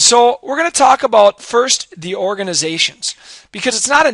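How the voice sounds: The man's voice is raspy, with a fairly bright tone. He moves at a fairly quick pace with lively intonation.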